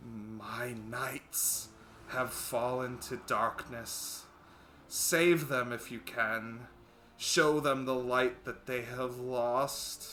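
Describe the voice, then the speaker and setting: Putting on a character voice, a man speaks at a very slow pace and a medium pitch, with hissing and clear background noise. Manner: solemn, ominous.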